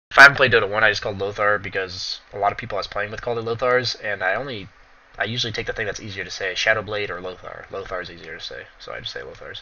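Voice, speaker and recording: A man talks at a very fast pace with big swings in loudness. Noticeable background noise is present. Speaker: game streamer. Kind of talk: live stream chat with viewers.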